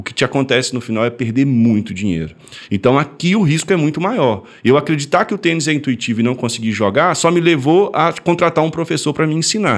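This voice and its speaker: A man races along at a very fast pace, his medium-pitched voice full of lively intonation. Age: 30s. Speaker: sports trading educator. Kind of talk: podcast explainer.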